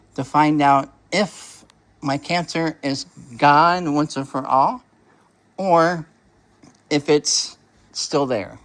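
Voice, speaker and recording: A man is speaking. The background is quiet. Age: 60s. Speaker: hobby vlogger, toy brick builder. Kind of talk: casual video update. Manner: rambling, hesitant with fillers.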